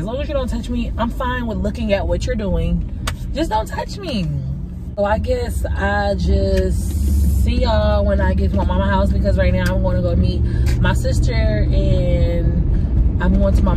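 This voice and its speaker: A woman talks at a moderate speed while loud noise fills the background. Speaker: vlogger. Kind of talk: casual vlog chat. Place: car. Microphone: phone near.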